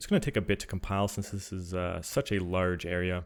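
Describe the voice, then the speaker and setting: A quiet man's voice at fairly low pitch and moderate pace, on a very clean recording with a silent background. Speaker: 3D artist and tutorial creator. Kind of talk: software tutorial narration.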